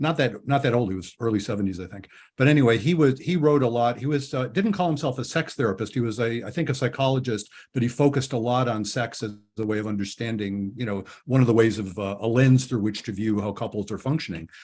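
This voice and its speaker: A man at medium pitch, somewhat breathy, talking at a very fast pace with ordinary pitch variation, in a very clean recording with a silent background. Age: 70s. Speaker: couples therapist and podcast host. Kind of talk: interview. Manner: halting.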